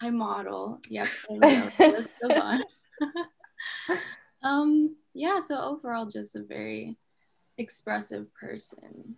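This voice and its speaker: A woman talks at a very slow pace with long, frequent pauses. Her loudness swings widely. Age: 20s. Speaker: mental health advocate. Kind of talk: casual chat. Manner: halting.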